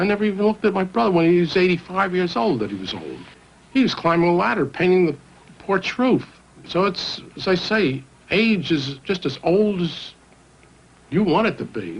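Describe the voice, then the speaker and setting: A man with a high pitch speaks at a moderate pace, his intonation lively. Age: 60s. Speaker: senior choir member. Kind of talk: documentary interview.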